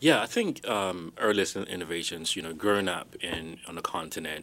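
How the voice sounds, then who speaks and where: A man's very deep, low voice with a bright, sharp tone, ordinary pitch variation and a fairly quick pace. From Ghana. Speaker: startup founder. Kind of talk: interview. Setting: studio.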